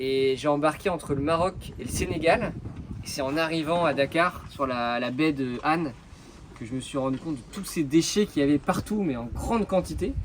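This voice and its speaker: A man talks at a fairly high pitch with ordinary pitch variation. Noticeable background noise runs underneath. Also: moderate pace. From Brittany, France (Concarneau). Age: 30s. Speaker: environmental association founder, merchant navy officer. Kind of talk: interview. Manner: hesitant, many fillers.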